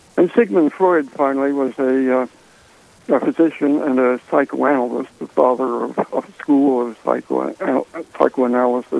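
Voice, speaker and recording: A man with an American accent talks at a moderate pace and medium pitch, his intonation fairly even. The sound is dry and close with no echo, though noticeable background noise is present. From Washington, D.C. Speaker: author. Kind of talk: radio interview. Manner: halting.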